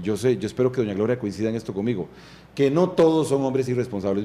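The speaker is a man. He talks with lively intonation. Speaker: interview guest. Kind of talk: interview answer. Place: studio. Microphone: studio mic.

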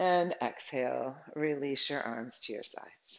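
A woman is talking. Her delivery is rather unhurried. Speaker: yoga instructor. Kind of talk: tutorial. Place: home room. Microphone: camera far.

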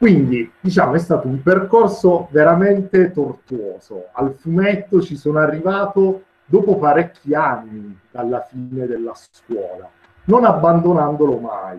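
A man speaks at a high pitch and a fairly slow pace. His intonation is lively. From Taranto, southern Italy. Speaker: comic artist, guest lecturer. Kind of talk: lecture.

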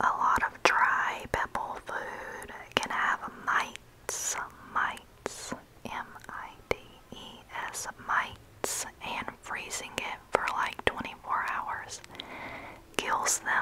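Over loud background noise, a woman talks at a very slow pace with long, frequent pauses. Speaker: home vlogger. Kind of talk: casual vlog chat. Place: home room. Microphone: earbuds.

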